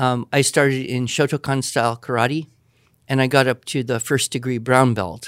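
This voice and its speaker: A man talks at medium pitch in an ordinary speaking voice, at a moderate pace with fairly even intonation. The sound is dry and close, with no echo. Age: 50s. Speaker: writing teacher. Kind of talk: Q&A with students.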